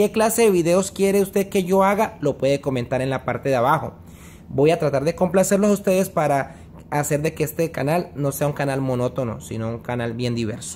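A man at a fairly quick pace with lively intonation, over light background noise. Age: 30s. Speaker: vlogger. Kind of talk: casual vlog monologue. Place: home room. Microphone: phone near.

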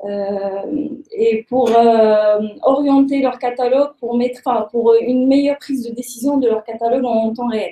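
At a very slow pace, a woman speaks in a high pitch with fairly even intonation amid audible room echo. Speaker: startup founder. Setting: stage with audience. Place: meeting room. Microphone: webcam.

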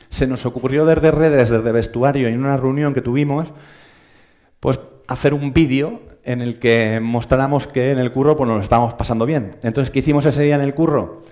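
A man's dark, mellow tone at a fairly quick pace, with fairly even intonation over a quiet background. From Spain. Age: 30s. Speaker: social media editor; conference speaker. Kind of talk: lecture. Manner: hesitant, many fillers. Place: hall. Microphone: headset.

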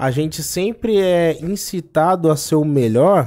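A man speaks with a dark, mellow tone and a fairly high pitch. The background is quiet. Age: 20s. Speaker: freestyle rap battle champion; podcast guest. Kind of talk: casual interview chat. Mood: relaxed, animated storytelling. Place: studio. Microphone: studio mic.

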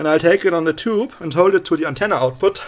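Intonation is lively and the pace fast. The speaker is a man with a fairly high pitch.

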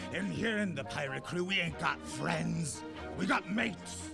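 A man in a put-on character voice at a moderate pace, with music in the background. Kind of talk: pirate speech.

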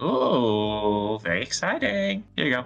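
A man's put-on character voice, fairly low in pitch, at a fairly slow pace with ordinary pitch variation. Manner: flamboyant.

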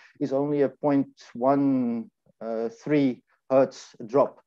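Against a quiet background, a man talks in a fairly high voice. His tone is dark and mellow, and his intonation is monotone and flat. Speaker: engineering lecturer; engineering lecturer presenting. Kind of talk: conference presentation with live demo. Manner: halting, many repetitions. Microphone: video call.

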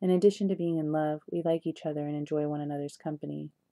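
In a dry, close sound with no echo, a woman speaks with a very deep, low pitch, a dark, mellow tone, and fairly even intonation. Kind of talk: audiobook reading of a short story. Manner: measured, even-paced narration.

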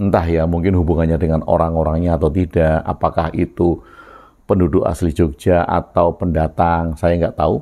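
A man's very deep, low voice, dark and mellow in tone, with monotone, flat intonation and very even loudness over a quiet background. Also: moderate pace. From Yogyakarta, Java, Indonesia. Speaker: video blogger sharing reflections. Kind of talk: reflective monologue. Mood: calm, thoughtful. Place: home room. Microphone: lapel.

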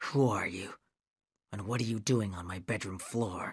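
A man growls in a put-on character voice, fairly low in pitch with ordinary pitch variation. He speaks quietly at a moderate pace on a very clean recording with a silent background. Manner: menacing, demanding.

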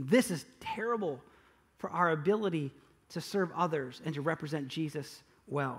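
An ordinary speaking voice at a moderate pace, with ordinary pitch variation. The background is quiet. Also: man, fairly high pitch for a man. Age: 40s. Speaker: pastor. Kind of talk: sermon. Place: church.

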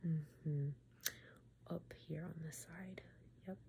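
A woman's low, slightly mellow voice with vocal fry

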